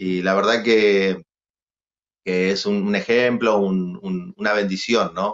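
The speaker talks at a very slow pace with fairly even intonation over a quiet background. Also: man, fairly low pitch for a man. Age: 40s. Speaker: guest. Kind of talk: casual interview. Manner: halting, many repetitions. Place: studio. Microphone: video call.

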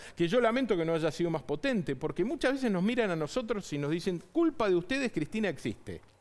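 With very wide pitch swings, a man talks at a fairly quick pace. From Argentina. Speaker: mayor. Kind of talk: political interview. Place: studio. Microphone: headset.

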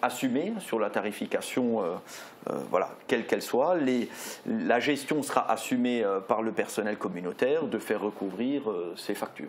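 There is light background noise as a man speaks in an ordinary speaking voice at a medium pitch. His pace is fairly slow, with ordinary pitch variation. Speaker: local elected official. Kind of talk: interview. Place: studio. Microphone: lapel.

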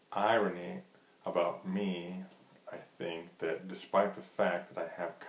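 There is audible room echo on this recording. A man speaks with a very deep, low pitch. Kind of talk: casual vlog chat. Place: kitchen. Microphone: webcam.

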